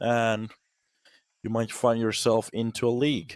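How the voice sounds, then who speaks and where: Speaking at a fairly slow pace with a Finnish accent, the voice sounds dry and close with no echo on a very clean recording with a silent background. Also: man. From Finland, Turku. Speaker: esports caster. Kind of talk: casual chat; live commentary. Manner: animated.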